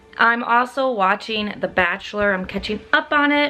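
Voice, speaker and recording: Over music in the background, a woman talks at a moderate pace with a fairly high pitch and ordinary pitch variation. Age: 20s. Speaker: college student vlogger. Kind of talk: casual vlog talk.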